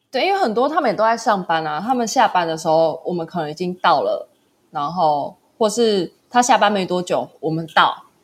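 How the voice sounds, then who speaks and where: A woman speaks in an ordinary speaking voice at a medium pitch and a moderate pace, with lively intonation. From Taiwan. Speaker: small business founder and backpacker. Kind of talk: casual interview chat.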